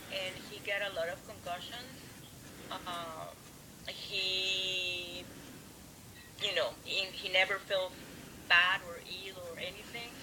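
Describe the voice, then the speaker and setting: In a Spanish accent, a woman speaks at a medium pitch and a very slow pace with monotone, flat intonation, big swings in loudness and long, frequent pauses, amid noticeable background noise and audible room echo. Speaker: fibromyalgia support group member. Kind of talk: interview.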